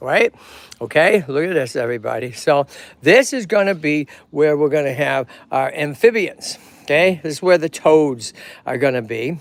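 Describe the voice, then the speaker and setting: Animated and lively in intonation, a man with a Boston accent talks at a moderate pace in a fairly high pitch. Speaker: tortoise rescue owner and streamer. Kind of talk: live stream casual chat. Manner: animated, halting with fillers.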